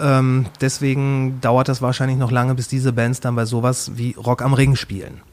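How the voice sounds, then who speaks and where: A man's monotone, flat delivery with hardly any pauses. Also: medium pitch for a man, moderate pace. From Ruhr area, Germany (Kamen). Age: 40s. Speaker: podcaster. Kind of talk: casual chat.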